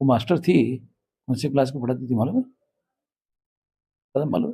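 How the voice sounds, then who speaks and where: Moderate pace and ordinary pitch variation from a man, somewhat breathy and medium in pitch. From Maharashtra, India. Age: 60s. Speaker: national organisation leader. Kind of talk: interview. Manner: forceful, combative.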